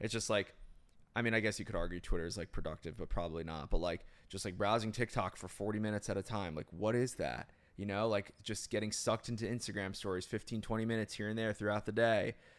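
A man speaks very fast at a fairly low pitch. His intonation stays fairly even. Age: 30s. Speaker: podcast host. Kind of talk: casual chat. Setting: studio.

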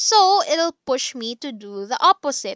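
A woman at a fairly slow pace, on a very clean recording with a silent background and a dry, close sound with no echo. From Philippines, Cavite. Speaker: podcast host, psychology graduate. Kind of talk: casual solo podcast chat. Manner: animated, frequent laughter.

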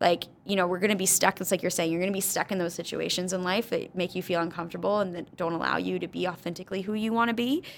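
Speaking at a very fast pace, a woman keeps her intonation fairly even, with vocal fry in her voice. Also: medium pitch for a woman, hardly any pauses. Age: 30s. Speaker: spin instructor and gym founder. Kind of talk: casual chat.

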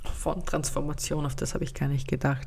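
Her pitch very deep and low, a woman speaks with vocal fry and fairly even intonation at a moderate pace, with audible room echo. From Austria. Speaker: podcast host and life coach. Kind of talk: solo podcast monologue. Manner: casual, chatty.

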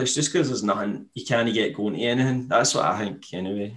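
A man's voice with a Scottish accent. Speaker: podcast host. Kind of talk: casual chat. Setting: video call.

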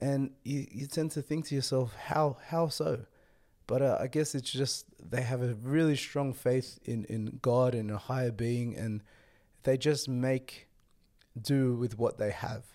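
A man with an Australian accent speaks at a medium pitch in a dark, mellow tone, at a fairly slow pace with fairly even intonation. The recording is very clean, with a silent background. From Australia, Western Sydney. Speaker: podcast host. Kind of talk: solo travel vlog talk.

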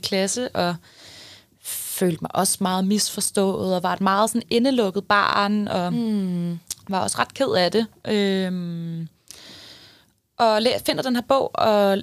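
Speaking at a very slow pace, a woman holds a medium pitch with ordinary pitch variation. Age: 20s. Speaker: numerologist, podcast co-host. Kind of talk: casual chat.

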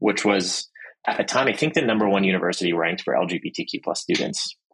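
His pitch sits fairly low. The man rattles along at a very fast pace. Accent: American. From Pittsburgh, Pennsylvania. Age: 30s. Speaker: venture capital investor. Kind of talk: interview.

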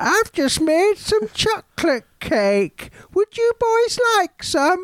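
Someone uses a put-on character voice at an extremely high pitch. The pace is very slow. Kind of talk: polite, grandmotherly.

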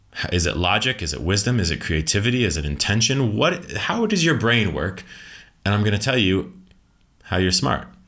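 The voice has a bright, sharp tone with an American accent. Its pitch swings very wide. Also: man, fairly low pitch for a man, fairly quick pace. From USA. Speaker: leadership coach and author. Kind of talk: podcast interview.

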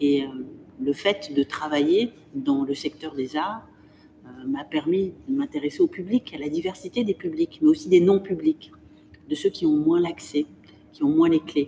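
A woman's fairly low, dark and mellow voice with very wide pitch swings, a fairly slow pace and long, frequent pauses, in a dry, close sound with no echo. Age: 50s. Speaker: museum director. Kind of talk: interview. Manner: articulate, with frequent hesitations.

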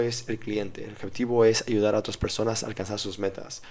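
A man talks at a fairly quick pace. His medium-pitched voice has a dark, mellow tone. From Mexico City. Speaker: strength and conditioning coach. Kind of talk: interview.

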